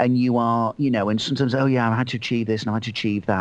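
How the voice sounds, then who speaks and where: This man speaks with a Mancunian accent at a medium pitch. His pitch varies in an ordinary way. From Manchester, England. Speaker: motivational author and trainer. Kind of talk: casual interview.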